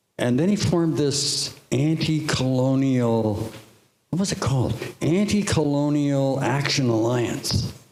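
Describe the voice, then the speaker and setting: Audible room echo surrounds a man with a Canadian accent who speaks fairly slowly in a fairly high voice. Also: ordinary pitch variation. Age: 70s. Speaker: artist panelist. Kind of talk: panel discussion. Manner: halting.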